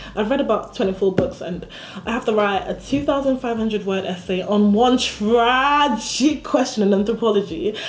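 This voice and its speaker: A woman's fairly high voice amid noticeable background noise. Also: ordinary pitch variation, moderate pace. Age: 20s. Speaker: vlogger and university student. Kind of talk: casual vlog monologue. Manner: casual, chatty.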